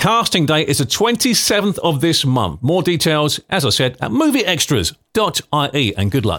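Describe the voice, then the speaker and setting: An animated, upbeat voice with vocal fry and very wide pitch swings comes through on a very clean recording with a silent background. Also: man. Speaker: podcast host. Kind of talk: scripted local news podcast, casual chat.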